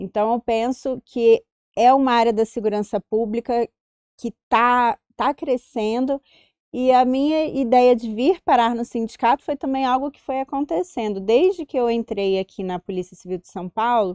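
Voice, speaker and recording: Speaking at a fairly slow pace in a Carioca accent, a woman with a high pitch uses ordinary pitch variation and big swings in loudness, in a very clean recording with a silent background and a dry, close sound with no echo. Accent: Carioca (Rio de Janeiro). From Rio de Janeiro, Brazil. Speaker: police chief and union president. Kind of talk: interview.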